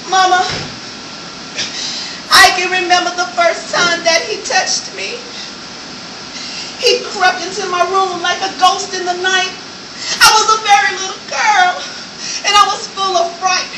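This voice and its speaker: Against noticeable background noise, a woman with an extremely high pitch speaks fairly slowly and fairly evenly, with long, frequent pauses. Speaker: spoken word artist. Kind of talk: spoken word poetry performance. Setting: live stage performance.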